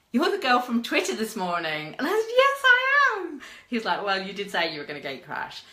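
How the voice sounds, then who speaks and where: Over noticeable background noise and audible room echo, a woman with a British accent speaks at a moderate pace in an animated tone. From Britain. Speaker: media and PR consultant. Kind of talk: live stream talk. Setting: live video.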